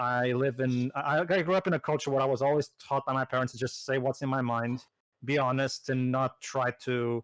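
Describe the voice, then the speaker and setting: Against a quiet background, a man speaks at a medium pitch. He has a Portuguese accent. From Portugal. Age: 30s. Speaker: gaming commentator. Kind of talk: casual chat. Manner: halting, many repetitions.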